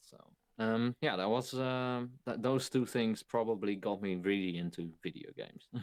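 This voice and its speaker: Speaking with a Dutch accent, the man keeps a moderate pace, a fairly low pitch and ordinary pitch variation. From Netherlands. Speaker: video game streamer. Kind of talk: podcast interview. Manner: halting.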